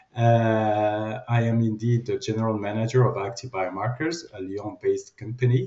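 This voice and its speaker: Speaking in a French accent, a man sounds somewhat breathy, keeping a moderate pace with hardly any pauses and fairly even intonation. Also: medium pitch for a man. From France. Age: 50s. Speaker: company general manager. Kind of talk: interview.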